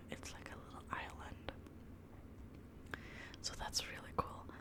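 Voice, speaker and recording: A woman whispering, with noticeable background noise. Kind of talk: casual chat about video games.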